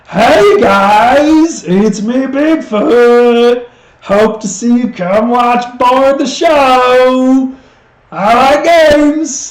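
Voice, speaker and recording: A woman speaks in a put-on character voice, high-pitched and delivered at a very slow pace. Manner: playful.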